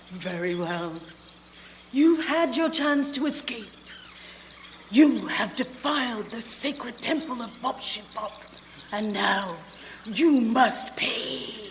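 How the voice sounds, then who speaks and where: A put-on character voice at a fairly high pitch and fairly slow pace, with long, frequent pauses, clear echo and clear background noise. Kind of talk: 1940s radio melodrama acting. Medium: stage play. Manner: imperious, theatrical.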